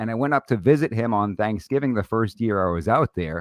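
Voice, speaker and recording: A man with a New York accent speaks at a fairly quick pace and a fairly low pitch. The sound is dry and close with no echo, and the background is quiet. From Brooklyn, New York. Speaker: gun rights lawyer and podcast host. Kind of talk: casual interview chat. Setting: live stream studio.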